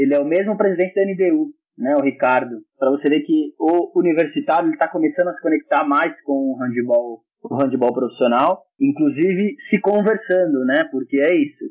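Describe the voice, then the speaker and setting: Lively intonation and very even loudness mark a plain, everyday voice moving at a moderate pace. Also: man, fairly high pitch for a man. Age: 20s. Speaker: handball coach and fitness trainer. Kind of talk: casual podcast interview.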